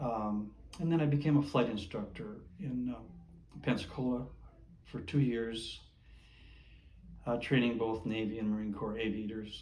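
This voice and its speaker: A man's medium-pitched voice with ordinary pitch variation, moderate pace, long, frequent pauses and audible room echo. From Minnesota. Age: 80s+. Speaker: Navy veteran. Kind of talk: oral history interview. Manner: halting.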